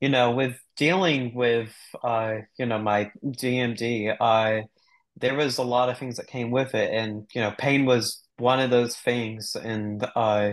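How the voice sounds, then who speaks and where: Over a quiet background, a man talks at a very slow pace with fairly even intonation. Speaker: guest. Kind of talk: interview answer. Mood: earnest, reflective. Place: home room. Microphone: video call.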